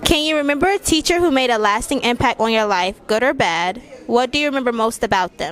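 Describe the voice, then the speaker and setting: Over noticeable background noise, a woman with a high pitch talks at a very fast pace, her pitch swinging very widely. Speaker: interviewer. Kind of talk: interview questions.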